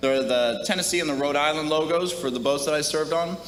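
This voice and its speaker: Both audible room echo and noticeable background noise are present. Through them, a male voice pitched fairly high talks with ordinary pitch variation. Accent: American. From US Midwest, Minnesota. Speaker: retiring navy officer. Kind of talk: retirement speech.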